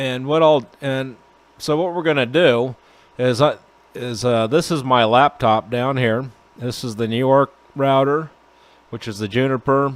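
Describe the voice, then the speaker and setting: A man talks at a fairly slow pace with long, frequent pauses. His pitch is medium and his intonation fairly even. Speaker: network engineer, video blog host. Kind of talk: tutorial. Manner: halting, many fillers and repeats.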